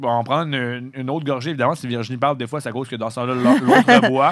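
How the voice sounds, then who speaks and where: The man speaks at a fairly quick pace. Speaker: college radio host. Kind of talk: casual chat. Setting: radio studio.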